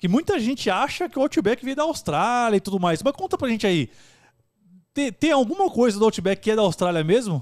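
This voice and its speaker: A man at a high pitch with very wide pitch swings and a fairly quick pace, over a quiet background. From Brazil, São Paulo east zone; Brazil. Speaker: podcast host. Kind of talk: casual chat. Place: studio. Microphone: studio mic.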